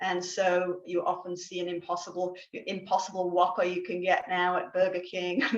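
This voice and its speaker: Over noticeable background noise, a woman speaks at a moderate pace and medium pitch with hardly any pauses and monotone, flat intonation. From England. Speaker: guest speaker on plant-based diet. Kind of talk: educational talk. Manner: hesitant, many fillers.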